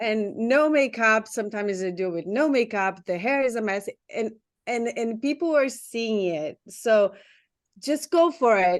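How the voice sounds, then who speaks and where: With a non-native accent, a woman with a fairly high voice and lively intonation speaks at a moderate pace against a quiet background. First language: not English. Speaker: community member, small business owner. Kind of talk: casual group chat. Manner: halting.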